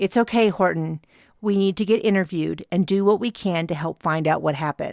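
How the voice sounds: Ordinary pitch movement in a natural reading voice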